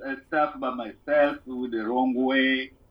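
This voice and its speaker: A man with a Congolese accent, at a moderate pace. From Democratic Republic of Congo. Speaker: musician. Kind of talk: casual interview chat. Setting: phone or video call.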